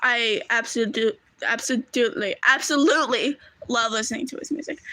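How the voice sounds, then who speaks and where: A woman speaks in a raised, projected voice at high pitch, with ordinary pitch variation. Her pace is moderate, while her loudness swings widely. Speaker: streamer. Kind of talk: casual chat. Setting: live stream.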